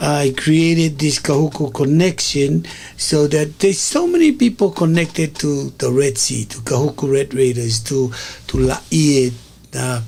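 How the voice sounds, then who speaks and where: Noticeable background noise sits behind a man with a Tongan accent. He talks at a fairly slow pace and fairly high pitch, with ordinary pitch variation. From Hawaii (Oahu North Shore), after early childhood in Tonga. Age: 60s. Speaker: community media host. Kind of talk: casual monologue to an online audience. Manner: halting, with many fillers and repetitions.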